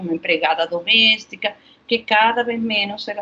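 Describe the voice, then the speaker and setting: A woman with a Spanish accent speaks at a moderate pace over noticeable background noise. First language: Spanish (speaking Portuguese). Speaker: health researcher. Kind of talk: interview. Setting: remote recording.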